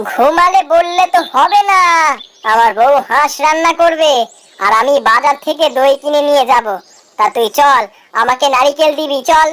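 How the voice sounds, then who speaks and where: A woman puts on a cartoonish character voice. It sits high in pitch at a moderate pace. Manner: fussy and talkative.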